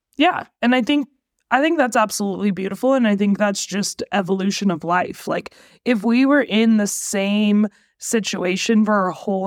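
Very clean recording with a silent background. A woman with a plain, everyday voice speaks at medium pitch and a moderate pace, with ordinary pitch variation. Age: 30s. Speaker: podcast host. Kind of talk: casual chat.

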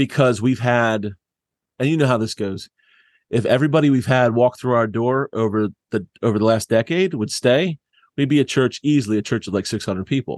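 A man with a plain, everyday voice, an American accent, medium pitch and ordinary pitch variation at a fairly quick pace, dry and close with no echo over a quiet background. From US Northeast (southeast Pennsylvania). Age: 40s. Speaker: church planter. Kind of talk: casual interview conversation. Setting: remote call.

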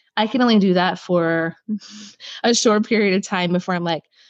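Speaking in an unremarkable speaking voice, a woman talks at medium pitch and a moderate pace with fairly even intonation, the sound dry and close with no echo. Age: 40s. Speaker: holistic chiropractor and hypnotherapist. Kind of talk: casual interview conversation.

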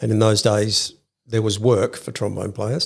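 On a very clean recording with a silent background, a man with an Australian accent speaks at a medium pitch, sounding somewhat breathy. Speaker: music shop owner. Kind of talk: interview.

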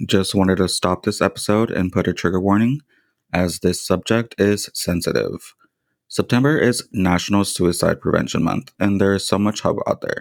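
The recording is very clean, with a silent background, and a man speaks at a moderate pace in an ordinary speaking voice. His pitch is fairly low, with ordinary pitch variation and very even loudness. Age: 20s. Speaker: podcast host. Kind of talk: casual interview chat; scripted announcement.

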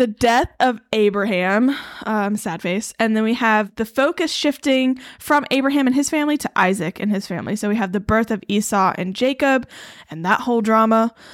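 In an American accent, a woman talks at a moderate pace with a fairly high pitch, ordinary pitch variation, and an unremarkable speaking voice. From Eastern North Carolina. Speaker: podcast co-host. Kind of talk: casual Bible study chat.

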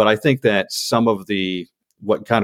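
A man speaks with an American accent. The recording is very clean with a silent background, and the sound is dry and close with no echo. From Upper Peninsula Michigan / northern Minnesota. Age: 40s. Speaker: podcast host. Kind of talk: casual interview. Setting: basement in Detroit.

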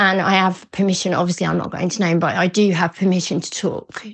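In an English accent, a woman talks at a medium pitch with monotone, flat intonation. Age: 40s. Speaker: eating disorder recovery coach. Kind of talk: interview testimony. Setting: remote call. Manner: warm, smiling.

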